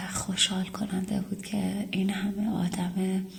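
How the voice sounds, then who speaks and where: A woman's medium-pitched, monotone, flat delivery at a very slow pace, over noticeable background noise. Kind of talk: casual talk to camera, apology and thanks to subscribers.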